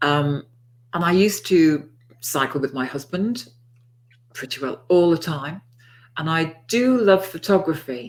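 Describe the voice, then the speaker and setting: Speaking in a Liverpool accent, a woman with fairly low pitch and lively intonation talks at a fairly slow pace with long, frequent pauses. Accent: Scouse. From Liverpool, England. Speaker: NLP author and trainer. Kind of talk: interview.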